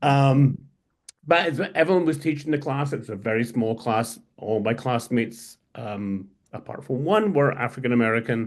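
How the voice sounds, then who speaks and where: Against a quiet background, a man with a Scottish accent talks at a medium pitch with ordinary pitch variation. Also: moderate pace. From Scotland. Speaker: historian and editor. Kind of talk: interview conversation. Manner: halting.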